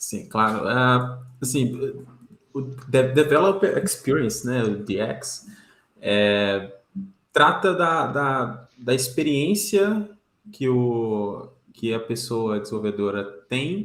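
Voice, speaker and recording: A man with a Minas Gerais accent, very slow and full of long, frequent pauses, lively in intonation, with audible room echo. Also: medium pitch for a man. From Brazil, Minas Gerais (Belo Horizonte). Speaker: engineering manager. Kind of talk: casual chat. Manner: halting, many fillers.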